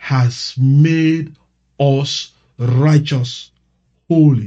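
A man's fairly high voice sounds somewhat breathy, with a dark, mellow tone. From Sierra Leone. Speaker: pastor. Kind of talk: prayer. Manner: slow.

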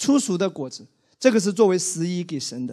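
Speech comes at a moderate pace against a quiet background. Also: man. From Wenzhou, China; China. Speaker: pastor. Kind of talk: sermon. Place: church. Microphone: handheld.

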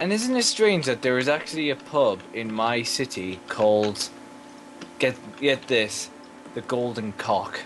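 Fairly slow, lively intonation from a man at medium pitch with an English accent, music in the background. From England. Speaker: gamer. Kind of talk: casual chat.

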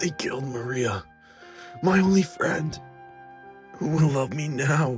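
A man does a cartoonish character voice at a fairly high pitch and a fairly slow pace, with clear music in the background. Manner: cold, contemptuous.

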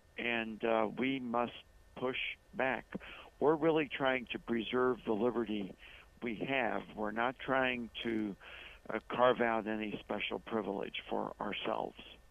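Fairly slow in pace, a man speaks at a medium pitch. His is an unremarkable speaking voice with fairly even intonation. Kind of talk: interview. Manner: measured, with frequent filler pauses.

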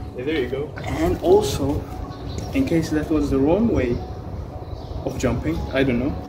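Noticeable background noise is present in this clip. Over it, a man speaks at a moderate pace. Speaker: vlogger. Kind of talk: casual vlog chat. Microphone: camera far.

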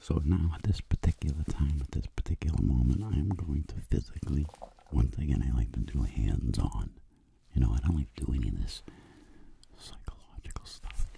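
A man's put-on character voice, raspy and whispering, at a moderate pace. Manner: soft-spoken.

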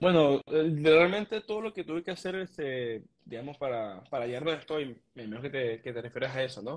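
A man's fairly high voice at a fairly quick clip, with hardly any pauses. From Venezuela, Mérida; Venezuela. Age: 20s. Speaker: trader, immigrant; interview guest. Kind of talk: interview. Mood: calm, reflective, motivational. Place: home room. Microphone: video call.

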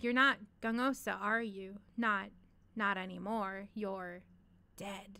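A woman at medium pitch does a shaky put-on character voice, speaking at a fairly slow pace with fairly even intonation and long, frequent pauses. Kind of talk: reading a story aloud. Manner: slow, shaky.

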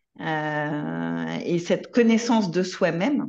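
The woman's fairly low pitch comes across a quiet background. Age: middle-aged. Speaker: equine-assisted therapist; guest. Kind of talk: online panel discussion. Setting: video call. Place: home room. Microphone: video call.

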